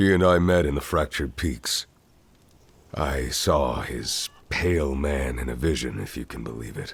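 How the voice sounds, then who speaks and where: A man speaks in a put-on character voice, pitched very deep and low. His pace is moderate. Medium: video game. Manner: curt.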